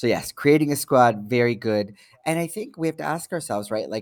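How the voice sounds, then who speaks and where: Speaking at a moderate pace with a Canadian accent, the voice swings very widely in pitch, with a dry, close sound with no echo and a very clean recording over a silent background. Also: man. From Canada, Toronto. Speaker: psychotherapist and social worker. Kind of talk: interview.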